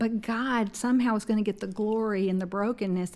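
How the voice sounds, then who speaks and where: Over a very clean, silent background, a woman talks at a fairly quick pace with fairly even intonation in a plain, everyday voice. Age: 50s. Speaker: Bible teacher and ministry director. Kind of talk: interview.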